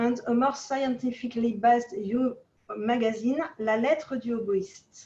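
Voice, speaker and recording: A woman with a French accent speaks at a fairly slow pace in a high pitch, her tone dark and mellow and her intonation fairly even. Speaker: oboe association president. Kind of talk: reading aloud. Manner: halting.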